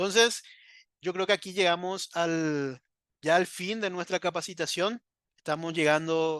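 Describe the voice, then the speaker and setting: A man talks with a high pitch and fairly even intonation. The background is quiet, and the sound is dry and close with no echo. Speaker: trainer. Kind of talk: online training lecture. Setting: live video stream. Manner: fast.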